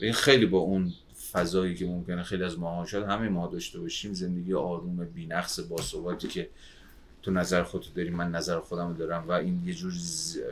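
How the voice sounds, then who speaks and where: At a very fast pace, a man with a very deep, low pitch talks in a monotone, flat intonation. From Iran, Babol, Mazandaran. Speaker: sociologist. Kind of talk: casual chat.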